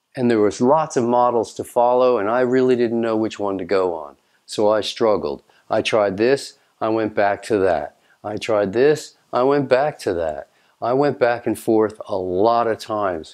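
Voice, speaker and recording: The setting is quiet. At a moderate pace, a man talks with ordinary pitch variation. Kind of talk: direct-to-camera talk. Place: home room.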